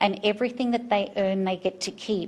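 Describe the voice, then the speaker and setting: A woman with an Australian accent talks at a moderate pace in a somewhat breathy, fairly high voice with ordinary pitch variation. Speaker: farmers market organizer. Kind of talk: presentation to city council. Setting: city council meeting.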